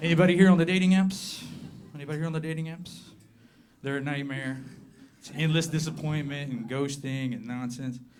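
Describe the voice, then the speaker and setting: A man with an American accent talks at a fairly quick pace with lively intonation, and audible room echo surrounds his voice. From southern Appalachia, US. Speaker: comedian. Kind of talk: stand-up. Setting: stage with audience.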